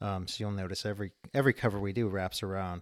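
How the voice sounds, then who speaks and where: An unremarkable speaking voice from a man at a fairly quick pace, dry and close with no echo, on a very clean recording over a silent background. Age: 40s. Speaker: author and small-press editor. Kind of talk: interview.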